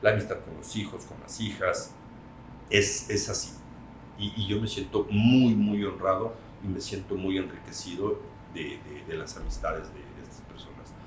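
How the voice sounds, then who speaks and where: A man with a plain, everyday voice at a fairly low pitch, moderate pace and big swings in loudness. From Mexico. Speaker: radio announcer. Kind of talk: interview answer.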